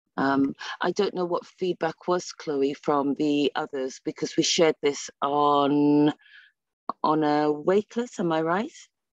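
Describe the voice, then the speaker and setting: In a quiet background with a dry sound and no echo, a woman with a very deep, low pitch speaks at a fairly slow pace with ordinary pitch variation. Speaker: ESOL teacher. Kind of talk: presentation at an online teacher meetup. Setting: video call. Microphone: video call.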